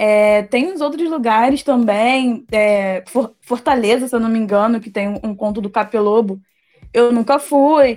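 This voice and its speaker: A woman's fairly high pitch at a fairly slow pace, with ordinary pitch variation. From Brazil, Queimados, Rio de Janeiro state. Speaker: fiction writer. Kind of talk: casual interview.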